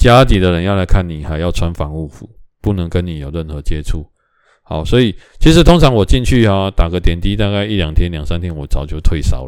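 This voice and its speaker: Pitch shifts in an ordinary way as this man talks. His pace runs fairly quick. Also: big swings in loudness, very clean recording, silent background. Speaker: podcast host. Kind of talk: casual solo talk. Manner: rambling with many fillers.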